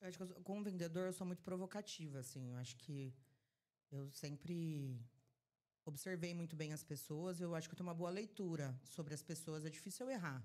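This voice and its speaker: A woman talks at a fairly quick pace in a fairly low voice with a dark, mellow tone. Her pitch varies in an ordinary way. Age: 30s. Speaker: trade marketing supervisor. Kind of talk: podcast interview. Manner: animated.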